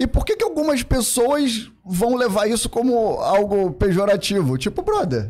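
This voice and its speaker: Against a quiet background, a man speaks in an extremely high pitch. His intonation is lively and his pace moderate. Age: 40s. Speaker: podcast guest. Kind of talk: casual chat. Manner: halting. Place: studio. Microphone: studio mic.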